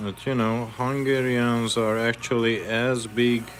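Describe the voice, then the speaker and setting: A man with a medium-pitched voice speaks at a very slow pace while music plays in the background. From Hungary. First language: Hungarian. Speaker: fishing lure maker, live streamer. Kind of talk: casual live stream chat while painting lures.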